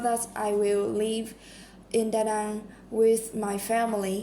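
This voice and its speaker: Speaking very slowly in a flat monotone, a woman with a fairly high pitch is heard over audible room echo. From Vietnam. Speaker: English learner practising speaking test. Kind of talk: mock speaking exam answers. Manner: halting, many fillers.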